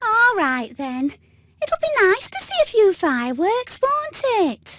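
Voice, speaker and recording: A female-sounding, put-on character voice is squeaky and extremely high, with a gentle, cheerful tone. It moves at a fairly slow pace with very wide pitch swings. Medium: video game.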